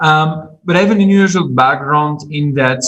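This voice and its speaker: Somewhat breathy, a man talks with a strong Belgian French accent and ordinary pitch variation. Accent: strong French-speaking Belgian. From Belgium. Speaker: agribusiness consultant. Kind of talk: podcast interview.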